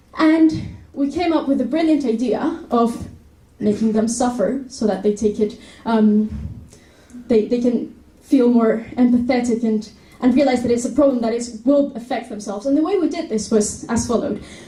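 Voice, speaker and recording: A dark, mellow tone with a Spanish accent, ordinary pitch variation, a moderate pace and audible room echo. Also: woman, high pitch for a woman. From Spain, Madrid. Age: 20s. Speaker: university student. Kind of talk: presentation talk.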